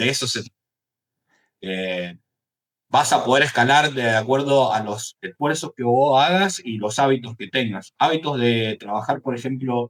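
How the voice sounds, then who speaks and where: A man at medium pitch in a Cuyo Argentine accent, with a fairly slow pace, ordinary pitch variation and big swings in loudness. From Argentina, Mendoza. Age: 30s. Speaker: entrepreneur, AI agency founder. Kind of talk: interview.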